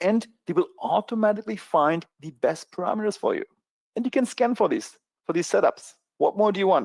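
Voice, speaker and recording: Speaking with a strong German accent, a man talks at a high pitch and a fairly quick pace. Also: lively intonation, dry, close sound with no echo. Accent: thick German. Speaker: trading educator. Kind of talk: sales pitch. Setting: online webinar.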